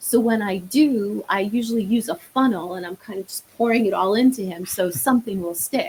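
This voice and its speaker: Spoken with an American accent, the delivery has lively intonation and hardly any pauses. Loudness swings widely, and there is noticeable background noise. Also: woman, fairly high pitch for a woman. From New York. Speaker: marriage therapist. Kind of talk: podcast interview.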